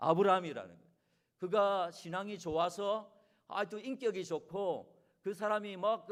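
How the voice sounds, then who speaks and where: A man speaks with a Gangwon accent in a high pitch. His pace is moderate. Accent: regional dialect, Gangwon (self-remarked). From Korea, Gangwon (Chuncheon). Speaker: guest pastor. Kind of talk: sermon. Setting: church.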